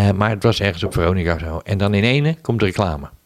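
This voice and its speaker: The speaker is a man whose voice sits at a fairly low pitch. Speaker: podcast co-host. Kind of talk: casual chat.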